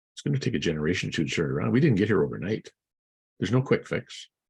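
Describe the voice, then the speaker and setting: The voice belongs to a man. It carries vocal fry. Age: 70s. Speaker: vlogger giving commentary. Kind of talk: opinion rant to camera. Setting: outdoors in front of a coffee shop. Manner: animated.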